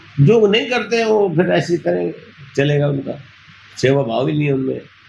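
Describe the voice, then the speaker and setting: A man's fairly high voice swings very widely in pitch as he talks at a moderate pace. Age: 60s. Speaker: NGO founder running old age homes. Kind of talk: interview.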